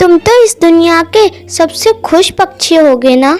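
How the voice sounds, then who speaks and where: A cartoonish character voice at a fairly slow pace, with faint music in the background. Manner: wondering, envious.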